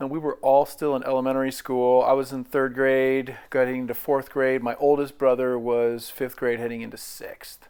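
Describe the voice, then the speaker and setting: A man with an American accent speaks at a medium pitch and a moderate pace. His intonation is monotone and flat, with hardly any pauses. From US Pacific Northwest, Portland, Oregon. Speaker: navy veteran. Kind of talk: life story interview.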